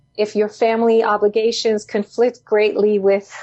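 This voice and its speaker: A woman speaks with a Spanish accent. Her pitch is medium and her pace is moderate. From Puerto Rico. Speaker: nonprofit founder and CEO. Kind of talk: interview. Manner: halting with many fillers.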